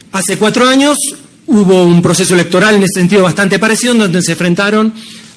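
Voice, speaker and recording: There is audible room echo as a man speaks at a moderate pace. His pitch is high, with ordinary variation. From Argentina. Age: 60s. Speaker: professor and civil servant. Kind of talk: conference talk.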